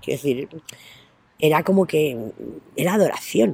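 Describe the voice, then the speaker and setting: A woman talks at a fairly quick pace, with vocal fry. Her pitch swings very widely. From Spain, Astorga (León). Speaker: interviewee. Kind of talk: interview. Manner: halting.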